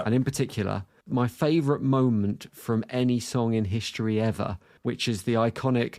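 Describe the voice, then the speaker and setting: This man has a plain, everyday voice. He talks at a moderate pace and a medium pitch. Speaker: radio presenter. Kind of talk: podcast interview questions.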